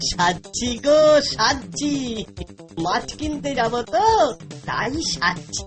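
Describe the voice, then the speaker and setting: A cartoonish character voice with a fairly high pitch talks at a very slow pace while music plays clearly in the background. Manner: sly.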